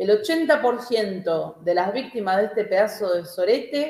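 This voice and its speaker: A woman with a Rioplatense accent and lively intonation. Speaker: podcast co-host. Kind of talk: casual livestream chat.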